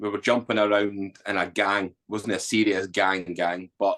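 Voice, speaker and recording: Speaking with a Scottish accent, a man keeps a fairly low pitch and a fairly slow pace. His intonation is monotone and flat. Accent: Scottish, Edinburgh. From Scotland, Edinburgh. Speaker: army veteran, author, former addict. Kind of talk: interview testimony. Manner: casual.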